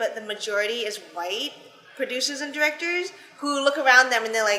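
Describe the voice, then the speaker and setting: A woman projects a raised, high-pitched voice. She moves at a moderate pace with lively intonation. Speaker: interviewer, channel host. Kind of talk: interview questions, casual talk.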